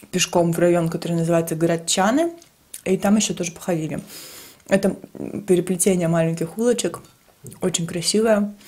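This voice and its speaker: Her pitch is fairly low for a woman. She talks at a fairly quick pace with fairly even intonation. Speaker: travel vlogger. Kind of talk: casual vlog chat. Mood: cheerful, relaxed. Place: kitchen.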